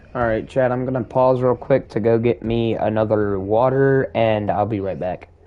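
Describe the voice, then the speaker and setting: The speaker has an American accent and ordinary pitch variation, talking at a moderate pace with hardly any pauses. Noticeable background noise runs underneath. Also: man, medium pitch for a man. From US South. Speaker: gaming streamer. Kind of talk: live gameplay commentary. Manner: casual, conversational.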